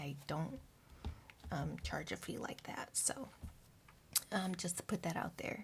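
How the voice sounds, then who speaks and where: This speaker is soft-spoken. The delivery holds a moderate tempo. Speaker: tarot reader. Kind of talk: tarot reading. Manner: quiet, hard to hear.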